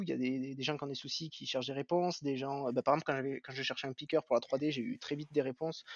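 The background behind this man is quiet. His voice has a dry sound with no echo. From southern France, Béziers; France. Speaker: 3D artist; podcast guest. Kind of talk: interview. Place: home room.

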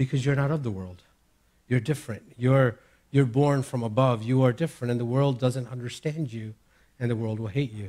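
Over a quiet background, a man talks at a fairly quick pace in a dark, mellow tone with fairly even intonation. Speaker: preacher. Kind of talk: sermon. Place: church. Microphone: headset.

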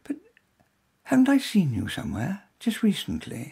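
A man's put-on character voice runs high in pitch with very wide swings, vocal fry, a husky, rough edge and a slightly mellow tone. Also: moderate pace.

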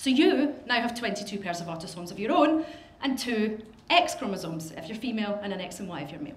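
Over noticeable background noise and audible room echo, a woman with a Scottish accent talks at a very fast pace in a fairly high pitch, with very wide pitch swings and big swings in loudness. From Scotland. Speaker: professional genealogist. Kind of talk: lecture.

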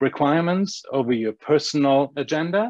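In a German accent, a man with a fairly high pitch uses ordinary pitch variation, the sound dry with no echo against a quiet background. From Germany. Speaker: agency owner; panelist. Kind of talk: panel discussion. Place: home room. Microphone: earbuds.

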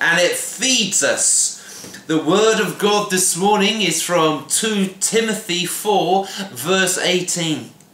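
Projecting in a raised voice with a Welsh accent, a man speaks very slowly at a high pitch. His pitch variation is ordinary, and the room echo is audible. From Wales. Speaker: pastor. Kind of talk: devotional sermon to camera. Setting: home kitchen. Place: kitchen. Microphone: phone near.

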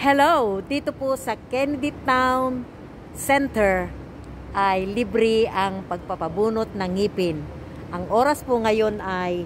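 Very slowly, a woman talks while light background noise runs underneath. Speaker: vlogger. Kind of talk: casual vlog chat.

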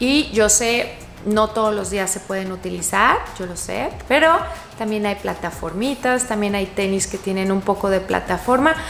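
A woman talks at a fairly slow pace with ordinary pitch variation, accompanied by light background noise and audible room echo. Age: 40s. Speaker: fashion youtuber. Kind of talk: tutorial. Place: home room.

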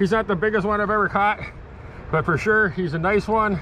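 Noticeable background noise accompanies a man talking at a fairly quick pace with ordinary pitch variation in a dry sound with no echo. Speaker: angler vlogger. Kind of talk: casual vlog commentary. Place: waterside. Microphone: phone near.

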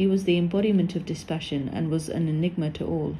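A woman speaks at a fairly quick pace in a somewhat breathy voice. Her pitch sits fairly low. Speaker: narrator of religious text. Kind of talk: scripted narration, reading aloud a devotional text. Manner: dramatic, reverent, storytelling delivery with wonder and emotion; formal.

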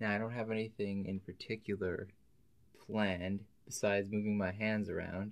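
This man has a fairly low pitch and a calm, soothing tone. His delivery is monotone and flat at a moderate pace. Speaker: ASMR video creator. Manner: calm, tender, soothing role-play pacing. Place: home room.

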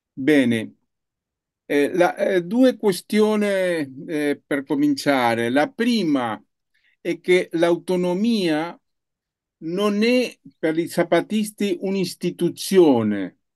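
With a non-native accent, a man pitched high for a man speaks very slowly, with very wide pitch swings and long, frequent pauses, over a quiet background. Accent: non-native Italian. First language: Spanish (speaking Italian). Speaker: journalist and researcher, guest speaker; journalist, guest. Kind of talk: lecture. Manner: halting, searching for words. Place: home room. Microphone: video call.

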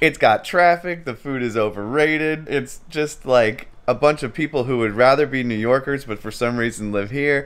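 A man's speech has ordinary pitch variation and moves at a moderate pace. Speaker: travel vlogger. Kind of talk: casual vlog chat. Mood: cheerful, joking. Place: home room. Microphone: phone near.

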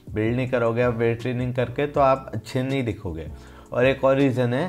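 Faint music plays in the background as the speaker talks at a moderate pace with ordinary pitch variation. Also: man. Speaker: fitness vlogger. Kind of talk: casual vlog chat. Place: home room. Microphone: phone near.

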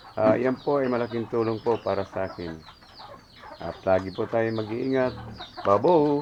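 A man at a medium pitch with ordinary pitch variation, a moderate pace and long, frequent pauses, amid noticeable background noise. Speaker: pig farmer and vlogger. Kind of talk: casual vlog tutorial. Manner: hesitant with many fillers.

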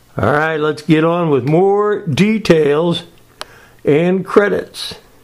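Over noticeable background noise, a man speaks at a very slow pace and a high pitch, with ordinary pitch variation. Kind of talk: humorous home video narration.

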